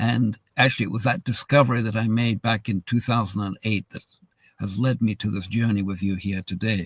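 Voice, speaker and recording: A somewhat breathy man's voice of medium pitch, dry and close with no echo. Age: 70s. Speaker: wellness webinar host. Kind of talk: live webinar presentation. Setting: live video stream. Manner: casual, hesitant with many fillers.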